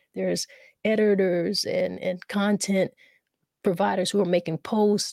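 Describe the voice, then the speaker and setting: A woman with a South Carolina accent and a dark, mellow tone sounds dry and close with no echo on a very clean recording with a silent background. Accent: Southern US (South Carolina). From US South, South Carolina. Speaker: poet and community activist. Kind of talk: casual interview with poetry readings.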